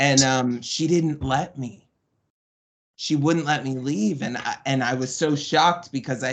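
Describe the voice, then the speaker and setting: A man with an American accent and an ordinary speaking voice, medium-pitched, at a fairly slow pace. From Florida, Tampa. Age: 30s. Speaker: podcast guest, boarding school survivor. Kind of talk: interview, personal testimony.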